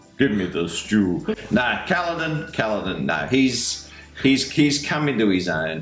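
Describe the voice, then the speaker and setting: Music plays in the background as a man with a fairly high pitch speaks at a very slow pace in a relaxed tone, his pitch swinging very widely. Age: 60s. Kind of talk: casual book discussion. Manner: jokey, relaxed.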